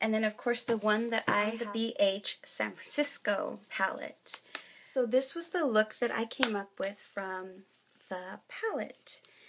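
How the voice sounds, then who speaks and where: A woman speaks fairly slowly at a fairly high pitch, her pitch varying an ordinary amount. It is a plain, everyday voice. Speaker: beauty vlogger. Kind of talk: casual talk to camera.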